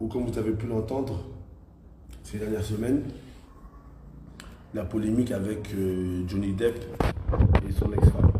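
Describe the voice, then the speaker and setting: A man with a fairly low pitch talks at a fairly slow pace, using fairly even intonation and long, frequent pauses. Audible room echo and noticeable background noise are present. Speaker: live stream host. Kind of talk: live stream discussion. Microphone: connection glitching.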